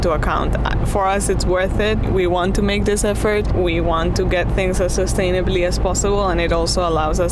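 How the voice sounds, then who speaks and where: A woman is speaking with music in the background. The sound is dry, with no echo. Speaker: vlogger. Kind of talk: casual vlog chat. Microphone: lapel.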